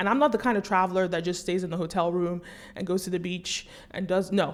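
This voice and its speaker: A woman with an American accent in an animated tone. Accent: American accent, noted by viewers. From US, New York City. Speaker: commentator, documentary maker. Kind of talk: monologue vlog commentary.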